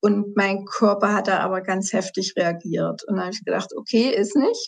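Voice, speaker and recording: This woman has an unremarkable speaking voice at a medium pitch. Her pitch varies in an ordinary way, and her pace is moderate. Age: 50s. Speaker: patient sharing her health story. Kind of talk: interview testimony.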